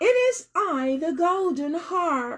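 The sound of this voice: A woman's squeaky, put-on character voice at an extremely high pitch, with very wide pitch swings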